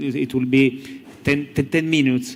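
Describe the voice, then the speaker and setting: A man with an Italian accent, medium pitch, ordinary pitch variation and a fairly slow pace, over noticeable background noise. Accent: Italian, non-native English. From Italy. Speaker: novelist. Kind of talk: panel discussion at literary festival. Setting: theater stage with audience. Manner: halting, many hesitations.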